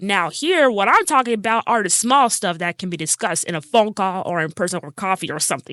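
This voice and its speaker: A woman speaks very fast with lively intonation and a bright, sharp tone, the sound dry and close with no echo against a quiet background. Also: hardly any pauses. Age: 20s. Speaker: podcast host. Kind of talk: casual podcast monologue.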